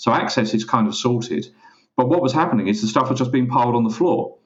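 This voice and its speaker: A man with an English accent. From England. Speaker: parcel locker industry expert, co-host. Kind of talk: business podcast discussion.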